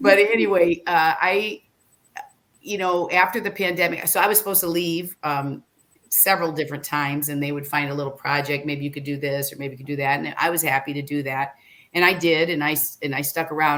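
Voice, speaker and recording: With a Midwestern US accent, a woman talks at a fairly quick pace in a very deep, low pitch, her pitch varying in an ordinary way. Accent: US Midwest. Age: 60s. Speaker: former reality show contestant and motivational speaker. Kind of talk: casual interview chat. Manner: hesitant, many fillers and restarts.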